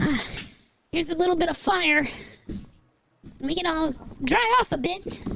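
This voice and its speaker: A man puts on a character voice, extremely high in pitch, moving at a moderate pace with long, frequent pauses. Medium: actual play. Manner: hesitant, stammering.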